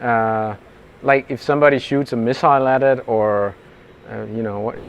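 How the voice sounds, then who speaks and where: At a moderate pace, a man talks with a Danish accent. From Denmark. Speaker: interviewer, startup engineer. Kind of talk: casual interview. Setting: conference workshop.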